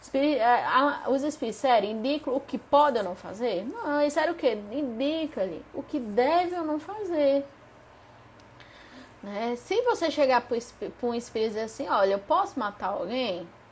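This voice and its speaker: A woman's high-pitched, animated voice with very wide pitch swings at a moderate pace, over noticeable background noise. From Paraíba, Northeast Brazil. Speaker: spiritist study group leader. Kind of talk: live-streamed study lesson. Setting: live stream.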